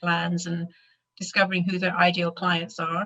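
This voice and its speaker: A woman's bright, sharp voice with a slight British accent, fairly quick and monotone, flat in intonation. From Britain, raised abroad as RAF child. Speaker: animal massage instructor. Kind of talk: interview.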